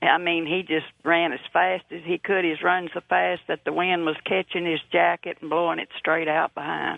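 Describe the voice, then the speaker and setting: Delivered at a moderate pace in a Texan accent, the speech has hardly any pauses. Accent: Texan Southern US. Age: 80s+. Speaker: caller, eyewitness. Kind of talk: testimony. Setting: phone call.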